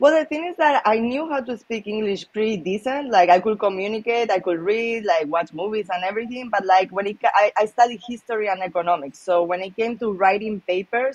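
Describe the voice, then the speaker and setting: In a Spanish accent, a woman talks at a fairly quick pace with hardly any pauses, her fairly high pitch set in lively intonation. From Spain, Malaga. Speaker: professional poker player. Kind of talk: casual interview. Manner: casual, many filler words.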